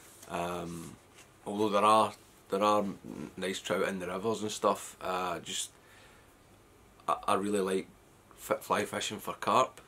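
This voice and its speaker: A man with a Scottish accent speaks fairly low in a bright, sharp tone. He goes at a fairly slow pace, with fairly even intonation and long, frequent pauses. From west of Scotland. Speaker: fly fishing vlogger. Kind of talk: casual vlog talk. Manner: hesitant, many fillers.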